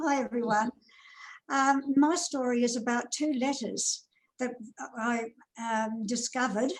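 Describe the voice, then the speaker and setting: Her pitch high and her intonation fairly even, a woman speaks at a fairly slow pace with long, frequent pauses. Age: 70s. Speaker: society member telling family story. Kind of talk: storytelling.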